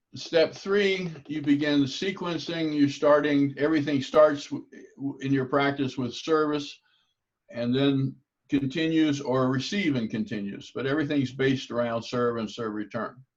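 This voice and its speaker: This man has an unremarkable speaking voice with a fairly high pitch. He talks at a moderate pace with ordinary pitch variation. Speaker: table tennis coach. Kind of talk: lecture.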